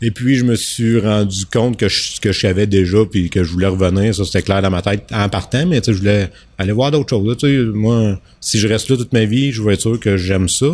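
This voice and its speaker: Over a very clean recording with a silent background, a man with a Quebec accent speaks fairly quickly at a fairly low pitch, with fairly even intonation. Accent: Québécois French. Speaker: business owner. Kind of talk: casual interview chat.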